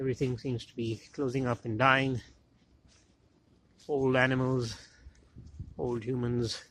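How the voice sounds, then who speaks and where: A man speaks at a fairly slow pace in a monotone, flat intonation. His loudness swings widely, and he leaves long, frequent pauses. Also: medium pitch for a man. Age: middle-aged. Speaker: historian, medieval studies professor. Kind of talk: reflective monologue narration.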